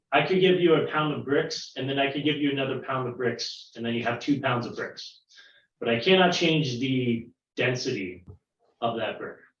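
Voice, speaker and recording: Audible room echo surrounds a man's voice. He speaks at a moderate pace and medium pitch with ordinary pitch variation. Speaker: science teacher. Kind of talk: online science lesson for children.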